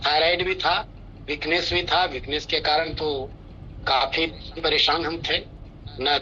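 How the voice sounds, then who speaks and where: This man's voice is fairly high, with noticeable noise in the background. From India, Bihar (Nawada). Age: 60s. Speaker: retired officer giving customer testimonial. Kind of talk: testimony.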